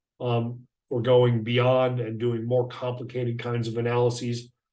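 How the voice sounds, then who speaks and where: A man speaks at a medium pitch. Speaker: software trainer. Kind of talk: webinar tutorial. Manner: fast; hesitant fillers.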